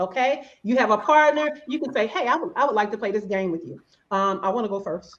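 A woman with an Alabama accent speaks at a fairly high pitch. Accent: Alabama Southern. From Alabama, US South. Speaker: business operations consultant. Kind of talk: casual interview.

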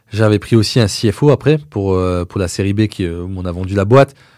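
Dark and mellow in tone, a man's voice sits at a fairly low pitch and a moderate pace. The recording is very clean, with a silent background. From eastern France. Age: 30s. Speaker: entrepreneur. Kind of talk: interview.

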